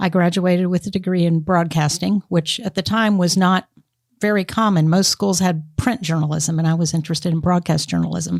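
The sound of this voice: Speaking with an American accent, a woman uses a fairly low pitch and a slightly mellow tone, with fairly even intonation at a moderate pace.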